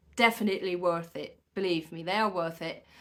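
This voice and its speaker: Ordinary pitch variation from a woman with a non-native accent. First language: not English. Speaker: hand-poke tattoo artist. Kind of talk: tutorial. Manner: casual, animated; hesitant with fillers.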